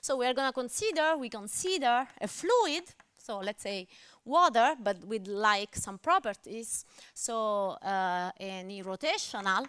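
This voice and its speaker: With an Italian accent, a woman speaks at a fairly slow pace with a fairly high pitch and very wide pitch swings. The recording is very clean, with a silent background. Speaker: mathematics lecturer. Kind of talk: lecture. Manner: hesitant, with fillers.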